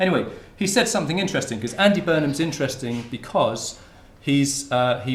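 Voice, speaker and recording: A man with a southern English accent talks at a fairly quick pace in a fairly high, somewhat breathy voice with lively intonation and audible room echo. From Hertfordshire, England. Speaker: sociolinguistics researcher, lecturer. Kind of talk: academic talk. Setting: lecture hall with audience. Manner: halting, many repetitions.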